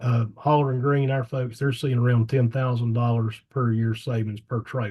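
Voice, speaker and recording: A man talks in a monotone, flat intonation with a somewhat breathy voice and hardly any pauses. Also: medium pitch for a man. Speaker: electric co-op staff presenter. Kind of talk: webinar presentation. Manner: fast.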